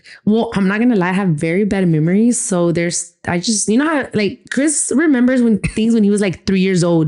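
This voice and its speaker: A woman with a Spanish accent talks at a fairly quick pace with hardly any pauses. Her tone is dark and mellow, and her loudness stays very even. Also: medium pitch for a woman, lively intonation. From Texas (Rio Grande Valley, Austin, San Antonio). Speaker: podcast co-host, gym owner. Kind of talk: casual chat.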